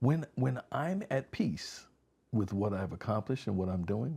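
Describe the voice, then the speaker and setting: A man with an American accent, fairly low and somewhat breathy, dark and mellow in tone, at a moderate pace. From Connecticut, West Haven. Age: 60s. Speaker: community organization founder, former law enforcement. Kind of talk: casual interview chat. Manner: animated.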